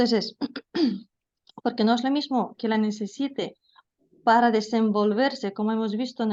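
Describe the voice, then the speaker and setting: With fairly even intonation and a moderate pace, the woman uses an ordinary speaking voice pitched fairly high. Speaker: language teacher. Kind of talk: lecture. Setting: video call.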